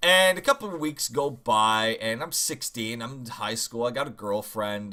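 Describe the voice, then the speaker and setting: A man's bright, sharp voice makes very wide pitch swings in a very clean recording with a silent background. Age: 20s. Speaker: gaming YouTuber. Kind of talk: casual storytelling vlog. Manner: hesitant, many fillers.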